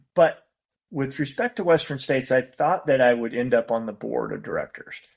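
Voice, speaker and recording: He speaks with a General American accent. The man's pace is fairly quick. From US West Coast (Bay Area, California). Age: 60s. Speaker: race director. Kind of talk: podcast interview. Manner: casual, with frequent repetitions and fillers.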